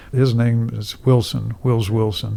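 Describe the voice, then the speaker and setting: Someone with an American accent speaks at a fairly slow pace in a plain, everyday voice. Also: man. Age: 60s. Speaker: musician. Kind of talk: casual chat. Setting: studio.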